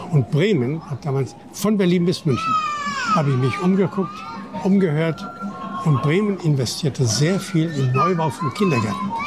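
A man's high voice with lively intonation at a moderate pace, broken by long, frequent pauses, amid audible room echo and noticeable background noise. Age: 80s+. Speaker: city tour guide. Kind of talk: interview. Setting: outdoors.

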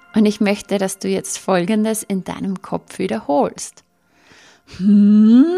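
A woman speaks at a very slow pace in a calm, soothing tone that is dark and mellow. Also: medium pitch for a woman, ordinary pitch variation. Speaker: podcast host and mental coach. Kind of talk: guided meditation. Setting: studio, solo recording. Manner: slow, calm, soothing, with long pauses; gently coaxing, repeating phrases softly.

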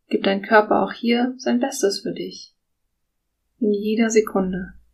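A woman's fairly high voice with vocal fry, fairly even intonation, a calm, soothing tone and a very slow pace. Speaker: podcast host and guided meditation leader. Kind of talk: guided meditation. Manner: slow, soft-spoken, calm and soothing with long pauses.

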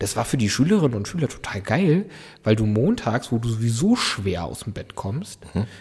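Somewhat breathy, a man at medium pitch speaks at a moderate pace with lively intonation. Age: 20s. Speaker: local politician. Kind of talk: casual interview. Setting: council building room.

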